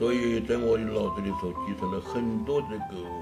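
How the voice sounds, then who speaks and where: Clear background music beneath a man's fairly slow speech. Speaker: writer. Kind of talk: interview answer. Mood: reflective, regretful. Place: home room.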